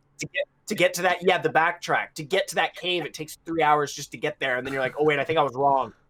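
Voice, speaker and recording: The speech runs at a very fast pace with hardly any pauses. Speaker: podcast co-host. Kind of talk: casual chat. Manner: loud.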